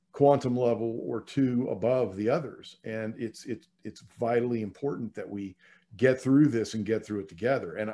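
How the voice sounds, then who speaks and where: At a moderate pace, a man talks at medium pitch with a dark, mellow tone. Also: ordinary pitch variation. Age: 60s. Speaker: minister. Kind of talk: sermon. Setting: online church service.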